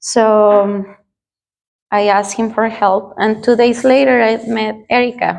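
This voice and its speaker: A woman's fairly high voice in a Spanish accent, fairly slow and fairly even in intonation, broken by long, frequent pauses. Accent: non-native English, Spanish-speaking. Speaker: churchgoer giving testimony. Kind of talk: testimony. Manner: halting, with fillers.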